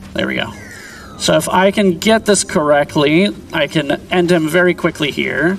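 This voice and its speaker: Music plays in the background as a man speaks at a moderate pace. His pitch is fairly high, with ordinary variation. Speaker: speedrunner. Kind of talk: live commentary while playing.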